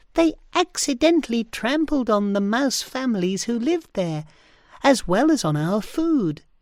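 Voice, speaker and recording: A put-on character voice, female-sounding and fairly high in pitch, with very wide pitch swings at a moderate pace, in a very clean recording with a silent background. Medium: read story. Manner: friendly, reassuring.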